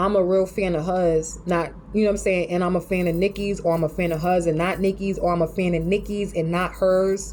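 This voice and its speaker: Someone with a New York accent talks at a fairly quick pace with hardly any pauses. Noticeable background noise is present. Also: woman, fairly low pitch for a woman. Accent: New York City. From New York City. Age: 40s. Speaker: vlogger. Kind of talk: casual monologue rant. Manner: animated.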